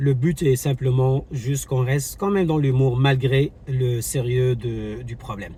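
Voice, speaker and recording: A man speaks at a medium pitch with fairly even intonation. Noticeable background noise runs under his voice. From Morocco, Casablanca. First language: Moroccan Arabic (speaking French). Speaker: YouTuber, travel vlogger. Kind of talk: commentary vlog. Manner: hesitant, many fillers.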